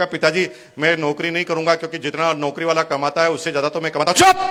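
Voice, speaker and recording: Against noticeable background noise, a man talks at a moderate pace in an animated tone. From Rajasthan, India (Bhilwara). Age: 50s. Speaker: businessman, motivational speaker. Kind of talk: motivational speech.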